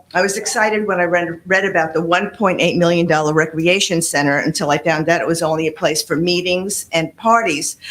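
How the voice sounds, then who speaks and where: The speech runs at a fairly quick pace with ordinary pitch variation, set against noticeable background noise. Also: woman. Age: 70s. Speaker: public commenter at town meeting. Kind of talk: public comment, partly read from paper. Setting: town meeting.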